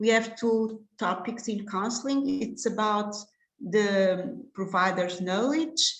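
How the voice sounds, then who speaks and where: Speaking at a very slow pace, a woman with a fairly high, somewhat breathy voice is heard with audible room echo. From Portugal. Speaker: contraception specialist doctor. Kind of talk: lecture. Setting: online webinar. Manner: halting, many fillers.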